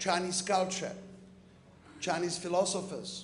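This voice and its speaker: In a space with audible room echo, a man with a high pitch talks at a fairly slow pace. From Czechoslovakia. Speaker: businessman and invited speaker. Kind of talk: conference speech.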